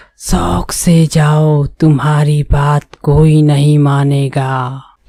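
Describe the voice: A cartoonish character voice at a low-to-middle pitch, drawn out at a very slow pace.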